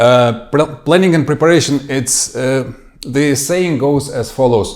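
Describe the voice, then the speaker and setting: Audible room echo surrounds a man whose fairly high voice moves at a fairly slow pace with fairly even intonation. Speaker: forensic investigations trainer. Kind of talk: training lecture. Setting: office training session with slides. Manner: halting, many fillers.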